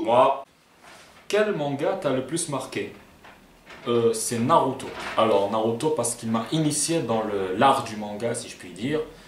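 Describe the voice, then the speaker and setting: Speaking fairly slowly in a southern French accent, a man with a medium pitch uses lively intonation, big swings in loudness and long, frequent pauses over noticeable background noise. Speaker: YouTuber. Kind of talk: casual FAQ talk to camera.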